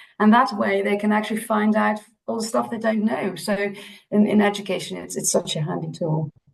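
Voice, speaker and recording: A woman with a Dutch accent at a medium pitch and a fairly quick pace, with ordinary pitch variation. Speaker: optometry lecturer. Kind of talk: panel discussion.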